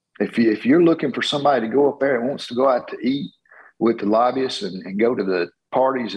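A man's fairly quick, medium-pitched voice with a Southern US accent, lively intonation and vocal fry. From Georgia, US South. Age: 50s. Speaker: congressional candidate. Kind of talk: interview.

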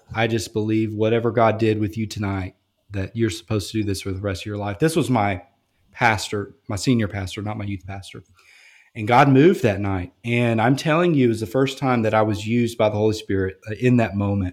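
Here a man speaks with a Louisiana accent at fairly low pitch and a fairly quick pace. Pitch variation is ordinary, and the recording is very clean with a silent background. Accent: Louisiana Southern US. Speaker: college campus minister. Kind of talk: casual interview.

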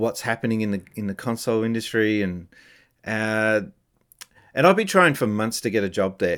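Speaking with an Australian accent, a man uses a fairly low pitch. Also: very clean recording, silent background. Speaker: former games company employee and streamer. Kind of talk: casual interview chat.

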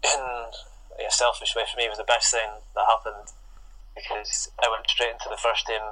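A man speaks at a fairly slow pace with a Scottish Highland accent. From Scotland, Inverness. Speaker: professional footballer. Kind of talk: interview.

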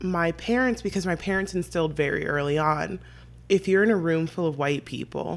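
A normal speaking voice, moderately paced and with ordinary pitch variation. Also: woman. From San Diego, California. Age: 20s. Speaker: podcast guest. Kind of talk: casual chat.

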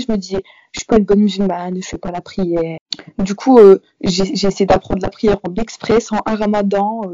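A woman talks at a moderate pace and medium pitch in an unremarkable speaking voice. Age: young. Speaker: university student. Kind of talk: interview.

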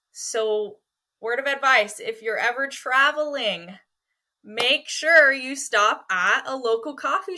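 A raised, projected voice with a bright, sharp tone moves at a fairly slow pace with lively intonation. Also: woman. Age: 20s. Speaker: financial firm team member and youth leader. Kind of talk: casual interview.

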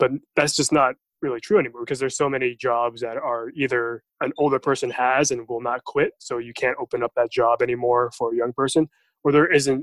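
Someone with an American accent talks at a fairly quick pace, recorded with a dry, close sound and no echo. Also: man. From US. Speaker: podcast host. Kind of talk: casual chat.

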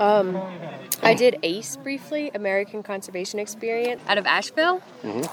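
Over noticeable background noise, a woman at medium pitch talks at a fairly quick pace with very wide pitch swings. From southern Louisiana. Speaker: trail crew member. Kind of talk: casual interview.

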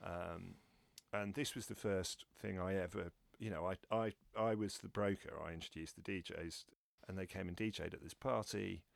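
In a dry, close sound with no echo, a man speaks at a fairly low pitch with vocal fry. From London. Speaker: DJ and festival promoter. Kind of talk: interview. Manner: hesitant with fillers.

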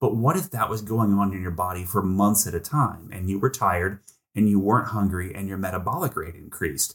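A man's somewhat breathy, fairly low voice at a fairly quick pace with ordinary pitch variation, on a very clean recording with a silent background. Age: 40s. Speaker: biotech CEO. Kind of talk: interview. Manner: animated.

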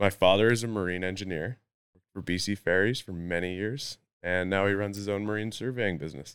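With a British Columbian accent, a man speaks at a fairly quick pace in a fairly low pitch, his intonation fairly even. His loudness swings widely, on a very clean recording with a silent background. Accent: Canadian (British Columbia). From North Vancouver, Canada. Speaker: pro mountain biker. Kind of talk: casual chat.

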